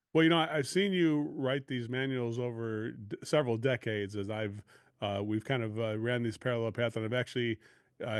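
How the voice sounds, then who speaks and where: Here is a man with an ordinary speaking voice at medium pitch. He talks at a fairly quick pace with ordinary pitch variation. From US Midwest, Chicago area. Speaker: podcast host and sales coach. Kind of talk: podcast interview.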